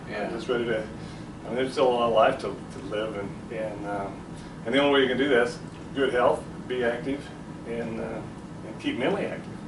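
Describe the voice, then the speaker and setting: Noticeable background noise sits behind a man talking at a fairly quick pace. His pitch is medium, with ordinary variation. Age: 60s. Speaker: business owner. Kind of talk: interview answer.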